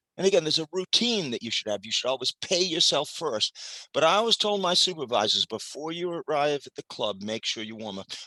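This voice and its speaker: An energetic man with a bright, sharp tone, vocal fry and a fairly high pitch talks at a fairly quick pace with hardly any pauses and very wide pitch swings, in a dry, close sound with no echo. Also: big swings in loudness. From Maine. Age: 70s. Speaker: retired club general manager, speaker on hospitality. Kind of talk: motivational talk.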